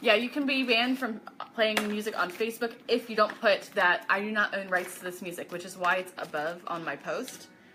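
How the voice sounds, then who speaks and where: A woman talks at a fairly quick pace with a fairly high pitch, her loudness swinging widely. Noticeable noise sits in the background. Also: ordinary pitch variation. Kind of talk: live sales stream. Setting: live video stream. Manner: casual chatty.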